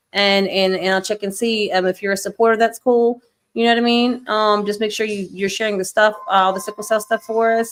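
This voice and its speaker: Recorded very cleanly against a silent background, an unremarkable speaking voice with an American accent proceeds at a moderate pace with fairly even intonation. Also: woman. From New York. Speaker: livestream show host. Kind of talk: casual chat. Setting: live stream.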